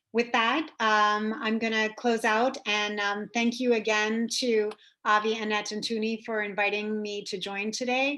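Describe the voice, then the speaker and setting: Bright and sharp in tone, a woman speaks at a medium pitch with an American accent. The background is quiet. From New York. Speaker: government trade officer. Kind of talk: presentation. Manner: fast.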